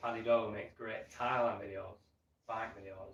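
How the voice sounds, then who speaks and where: A man speaks at a medium pitch and a fairly quick pace. His voice is somewhat breathy. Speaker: travel vlogger. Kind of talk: livestream chat. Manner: simplified, careful speech.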